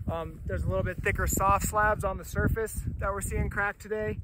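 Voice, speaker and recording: A man over noticeable background noise, in a dry sound with no echo. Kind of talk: field report. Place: open country.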